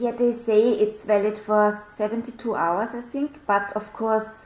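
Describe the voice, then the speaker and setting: A woman with a non-native accent, a fairly high pitch, fairly even intonation and a fairly slow pace, over noticeable background noise. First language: not English. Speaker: show participant. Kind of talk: casual chat.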